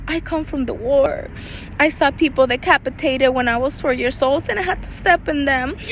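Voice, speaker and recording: Amid noticeable background noise, a woman with a high pitch speaks in a Spanish accent. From El Salvador. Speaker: life coach. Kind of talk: personal testimony. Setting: outdoors.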